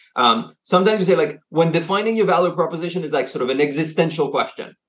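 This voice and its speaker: A man speaks with a French accent at a high pitch. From France, grew up moving between Asia and the US. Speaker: consultancy CEO. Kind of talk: interview. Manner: halting, many fillers and repeats.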